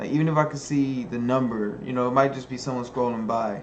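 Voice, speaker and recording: There is audible room echo and noticeable background noise. A man speaks at a fairly high pitch and moderate pace with ordinary pitch variation. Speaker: video blogger. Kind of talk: casual monologue to camera. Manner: relaxed.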